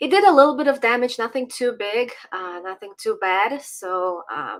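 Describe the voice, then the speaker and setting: A woman with a Ukrainian accent, fairly high pitch and very wide pitch swings, at a fairly slow pace, in a very clean recording with a silent background. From Ukraine. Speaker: political commentator. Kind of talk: casual interview chat. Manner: hesitant with fillers.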